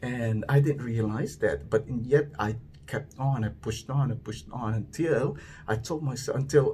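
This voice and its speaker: A man's medium-pitched, somewhat breathy voice, with ordinary pitch variation and a moderate pace. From Philippines. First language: Filipino language. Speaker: vlogger. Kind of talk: personal monologue. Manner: halting, stammering; reflective.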